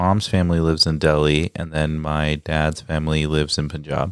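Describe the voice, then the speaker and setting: A man with a Midwestern accent, very deep and low in pitch, at a moderate pace in a monotone, flat delivery. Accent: American (Midwest). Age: 20s. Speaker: travel guest. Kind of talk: casual chat.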